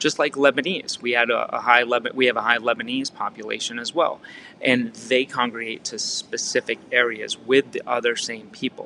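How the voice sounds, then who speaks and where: A man speaks with a Massachusetts accent. Noticeable background noise runs beneath him. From Massachusetts, Fall River. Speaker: real estate coach. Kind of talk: training talk. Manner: casual, filler-heavy with repetitions.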